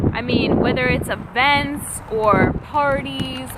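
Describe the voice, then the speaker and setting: A woman's speech picks up audible room echo and comes with noticeable background noise. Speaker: vlogger. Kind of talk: casual vlog talk to camera. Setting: outdoors by the sea. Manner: loud, speaking up over wind; animated.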